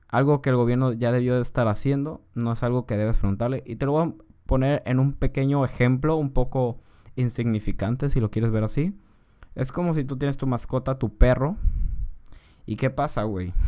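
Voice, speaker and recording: Over a quiet background, a man with a Mexican accent talks at a fairly quick pace, his medium-pitched voice dark and mellow in tone with ordinary pitch variation. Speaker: podcaster. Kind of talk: casual political commentary. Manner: informal, slangy.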